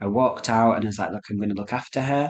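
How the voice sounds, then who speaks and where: A man with a Lancashire accent against a quiet background. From Rochdale, Lancashire. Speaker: psychic medium. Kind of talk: interview answer.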